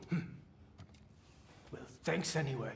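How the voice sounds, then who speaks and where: A man's raspy, fairly high put-on character voice over clear background noise. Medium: video game. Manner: gruff, sardonic.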